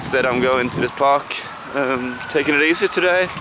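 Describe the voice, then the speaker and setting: With a Scandinavian accent, the speaker keeps a moderate pace and ordinary pitch variation. Background noise is noticeable. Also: man. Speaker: travel vlogger. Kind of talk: casual travel vlog. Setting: outdoors in a park. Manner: halting, many fillers.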